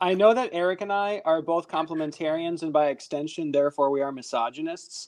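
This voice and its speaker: A man with a plain, everyday voice talks at a fairly quick pace in a fairly high pitch, with ordinary pitch variation and hardly any pauses. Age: 30s. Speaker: podcast host. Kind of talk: casual chat.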